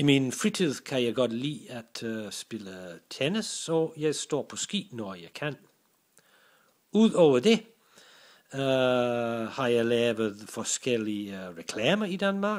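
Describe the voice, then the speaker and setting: In an English accent, the speaker talks very slowly, with very wide pitch swings and big shifts in loudness. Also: man, medium pitch for a man. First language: English (speaking Danish). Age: 60s. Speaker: business English teacher and commercial voice actor. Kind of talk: self-introduction. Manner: halting, with many fillers.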